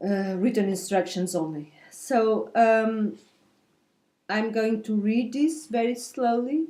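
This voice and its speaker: Very slowly, a woman with a fairly high pitch and a dark, mellow tone speaks with ordinary pitch variation on a very clean recording with a silent background. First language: Portuguese. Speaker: knitting videocaster. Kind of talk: tutorial. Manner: halting, with fillers.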